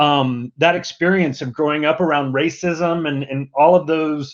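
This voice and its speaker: A man with an American accent, fairly high in pitch, at a moderate pace with fairly even intonation, over a quiet background. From US South (Mississippi). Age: 50s. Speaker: diversity and inclusion executive. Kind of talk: podcast interview.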